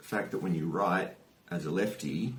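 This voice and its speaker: Noticeable background noise and audible room echo surround a man with a very deep, low pitch. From Australia. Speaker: youtuber. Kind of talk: personal vlog storytelling. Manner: casual, hesitant with fillers.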